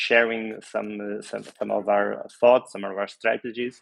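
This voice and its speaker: A man's fairly low voice in monotone, flat intonation. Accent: non-native. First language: Portuguese. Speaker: real estate office consultant. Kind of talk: online workshop presentation. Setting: video call. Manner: halting, many fillers.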